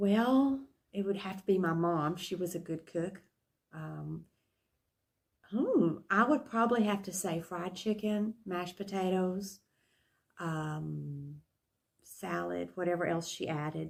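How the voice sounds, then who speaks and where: A woman with a West Texas accent speaks very slowly at a medium pitch, her ordinary pitch variation broken by long, frequent pauses. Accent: West Texas Southern US. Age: 70s. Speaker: interviewee. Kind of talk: interview. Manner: hesitant, many fillers.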